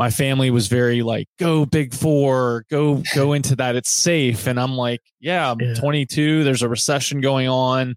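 With an American accent, a man speaks in a plain, everyday voice at a medium pitch and moderate pace, with hardly any pauses, fairly even intonation, very even loudness, and a dry, close sound with no echo. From US South, Virginia (Roanoke). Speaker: company managing director. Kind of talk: interview.

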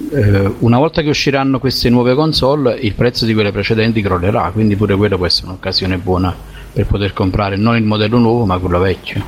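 Over noticeable background noise, a man with a fairly low pitch and ordinary pitch variation speaks at a fairly quick pace with very even loudness. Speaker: podcast guest. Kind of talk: casual chat.

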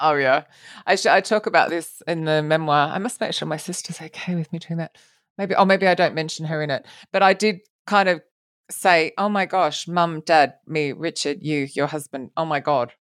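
The speaker has a British accent. Pitch varies in an ordinary way. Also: woman, fairly low pitch for a woman, moderate pace, very clean recording, silent background. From UK. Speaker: podcast host. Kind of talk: casual interview chat.

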